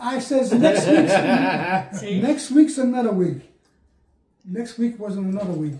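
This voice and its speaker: Speaking at a very slow pace, a man with a New Jersey accent has an extremely high voice. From Bayonne, New Jersey. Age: 80s+. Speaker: pigeon racer, veteran. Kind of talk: interview answer.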